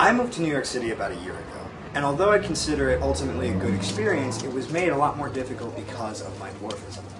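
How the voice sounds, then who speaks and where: Delivered at a very fast pace with hardly any pauses, the speech has an American accent, very wide pitch swings and big swings in loudness, along with noticeable background noise and audible room echo. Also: man, medium pitch for a man. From US, small town. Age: 20s. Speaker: vlogger with dwarfism. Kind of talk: personal video monologue.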